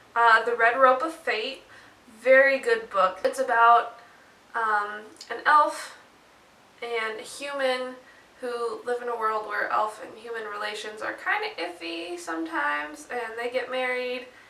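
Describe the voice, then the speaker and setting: A woman speaks with a fairly high pitch and a bright, sharp tone. Her loudness swings widely, her pitch varies in an ordinary way, and room echo is audible. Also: fairly slow pace. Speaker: book vlogger. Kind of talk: casual chat.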